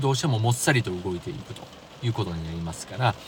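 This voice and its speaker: Noticeable background noise beneath lively intonation. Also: man. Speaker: driving podcast host. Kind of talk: solo podcast talk.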